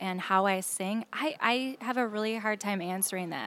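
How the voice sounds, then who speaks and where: In an Upper Midwest accent, a woman talks at a medium pitch. She goes fairly slowly, with ordinary pitch variation. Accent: Upper Midwest American. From Minnesota, Saint Paul. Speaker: singer. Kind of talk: casual chat. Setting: restaurant bar.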